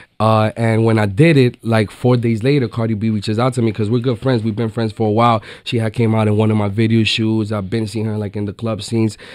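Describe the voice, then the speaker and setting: This man talks very fast in an American accent at a medium pitch. His intonation is monotone and flat. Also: very clean recording, silent background. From New York City. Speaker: latin trap artist. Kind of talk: radio interview. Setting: radio studio. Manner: casual, many fillers.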